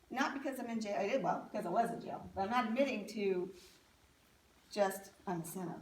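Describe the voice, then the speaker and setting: Amid audible room echo, a woman of medium pitch talks at a fairly quick pace with ordinary pitch variation. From US, military family, moved around. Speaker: speaker sharing life story. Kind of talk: testimony.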